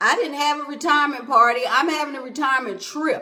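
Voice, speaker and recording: An animated woman's voice, high-pitched, raised and projected, with audible room echo. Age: 60s. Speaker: motivational podcast host. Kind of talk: motivational talk.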